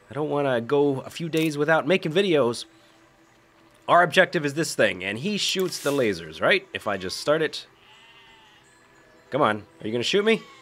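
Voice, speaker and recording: Music plays in the background as a man talks with long, frequent pauses. His pitch swings very widely. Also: fairly high pitch for a man, moderate pace. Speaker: gaming video creator. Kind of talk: gameplay commentary. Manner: casual.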